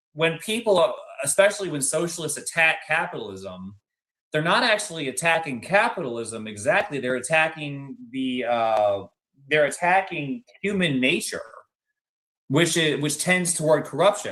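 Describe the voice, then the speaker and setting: Speaking at a moderate pace, a man uses a fairly high pitch, very wide pitch swings and a bright, sharp tone. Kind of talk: panel discussion.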